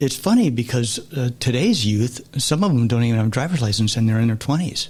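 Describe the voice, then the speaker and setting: A man talks at a fairly quick pace in a medium pitch, his voice somewhat breathy. His loudness stays very even, with ordinary pitch variation. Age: 60s. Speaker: guest sharing life story of addiction and recovery. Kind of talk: interview testimony.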